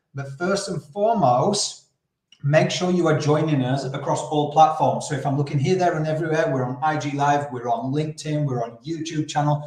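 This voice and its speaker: Audible room echo surrounds a man speaking at a moderate pace in a fairly high pitch with fairly even intonation. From Yorkshire, northern England. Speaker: podcast host, campaign founder. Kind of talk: interview. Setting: live video stream.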